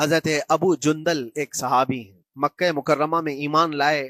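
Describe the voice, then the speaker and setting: A man with a fairly high pitch speaks in a passionate tone with fairly even intonation. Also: very clean recording, silent background. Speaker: Islamic scholar giving a sermon. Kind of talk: emotional religious sermon (bayan). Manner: emotional, passionate, storytelling.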